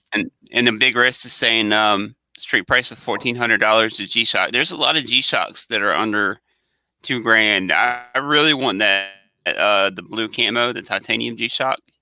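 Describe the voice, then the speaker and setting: At a moderate pace and a medium pitch, a man with a Southern US accent speaks in a bright, sharp tone on a very clean recording with a silent background. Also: ordinary pitch variation. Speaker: watch channel co-host. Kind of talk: casual chat. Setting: live stream.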